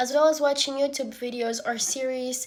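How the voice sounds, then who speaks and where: Noticeable background noise sits behind a woman with a Portuguese accent who speaks at a moderate pace in a high pitch. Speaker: university student. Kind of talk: student video presentation.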